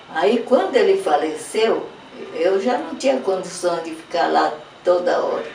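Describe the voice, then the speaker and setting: At a fairly slow pace, the speech comes through with audible room echo and noticeable background noise. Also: woman. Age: 90s. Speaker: artist's widow. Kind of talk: documentary interview.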